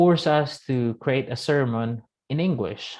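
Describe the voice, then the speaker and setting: Speaking at a very slow pace with a Filipino accent, a man uses ordinary pitch variation. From Philippines, Visayas (Negros). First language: Cebuano. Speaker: web developer and missionary vlogger. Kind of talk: casual explanatory vlog. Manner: halting, many fillers.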